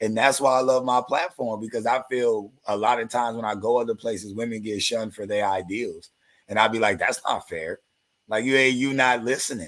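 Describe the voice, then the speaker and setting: The tone is animated and the pace fairly quick. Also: man, medium pitch for a man. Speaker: livestream host. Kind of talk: casual chat. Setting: live stream. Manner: loud.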